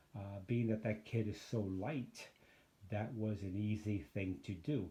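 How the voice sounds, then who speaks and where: The tone is dark and mellow. There is a somewhat breathy quality to it. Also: man, fairly low pitch for a man, ordinary pitch variation, fairly slow pace. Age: 60s. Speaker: photography YouTuber reviewing gear. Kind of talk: casual gear review vlog. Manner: casual, hesitant with many fillers.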